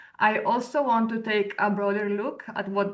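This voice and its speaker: A woman with an Italian accent speaks very slowly at a medium pitch. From Italy. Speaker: researcher and lecturer. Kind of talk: webinar presentation. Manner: hesitant, many fillers.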